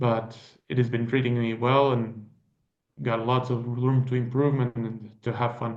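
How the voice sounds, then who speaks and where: Audible room echo surrounds a medium-pitched man speaking at a moderate pace in a monotone, flat intonation. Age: 20s. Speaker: sailor. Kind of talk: interview.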